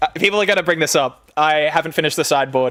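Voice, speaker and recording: An Australian accent, captured in a very clean recording against a silent background. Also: man. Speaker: gaming streamer. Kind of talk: casual live stream chat. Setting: live stream. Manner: casual, filler-heavy.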